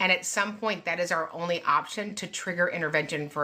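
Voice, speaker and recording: The voice has a bright, sharp tone and a Texan accent. It moves at a very fast pace with ordinary pitch variation. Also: woman. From Texas. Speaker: special education advocate. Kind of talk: live Q&A.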